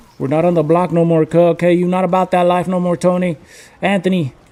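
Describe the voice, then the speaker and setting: There is noticeable background noise as a man speaks. His pitch is high, and his pace is moderate. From California, Mexican family from Jalisco. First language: Spanish. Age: 30s. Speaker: gaming streamer. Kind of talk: casual live-stream chat. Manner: casual, code-switching English and Spanish.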